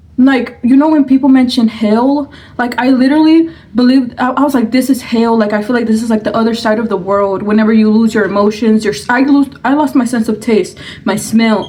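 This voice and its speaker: A woman's fairly high voice at a fairly quick pace, with ordinary pitch variation over noticeable background noise. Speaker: mukbang vlogger. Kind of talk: storytime while eating. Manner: quiet, subdued; halting, searching for words.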